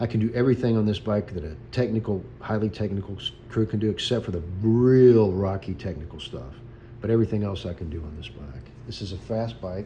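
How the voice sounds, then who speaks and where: Speaking at a fairly quick pace, a man with a fairly low pitch sounds somewhat breathy and shows ordinary pitch variation. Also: big swings in loudness. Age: 60s. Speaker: vlogger. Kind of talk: casual chat. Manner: halting.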